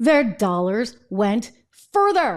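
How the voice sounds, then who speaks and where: Against a quiet background, a woman talks at a very slow pace. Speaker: show host. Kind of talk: political commentary. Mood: indignant, sarcastic. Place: studio. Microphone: studio mic.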